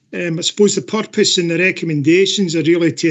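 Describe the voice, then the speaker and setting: The speaker has a Scottish accent. The intonation stays fairly even. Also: man. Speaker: council officer presenting a report. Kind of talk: report presentation at council meeting.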